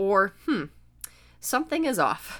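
Her intonation lively, a woman speaks in an animated tone. The recording is very clean, with a silent background. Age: 20s. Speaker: podcast host and personal trainer. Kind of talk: solo podcast monologue.

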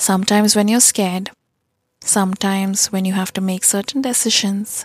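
A woman speaks at a moderate pace in a somewhat breathy voice. The recording is very clean, with a silent background and a dry, close sound with no echo. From developing nation. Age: 20s. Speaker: podcast host. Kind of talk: casual monologue.

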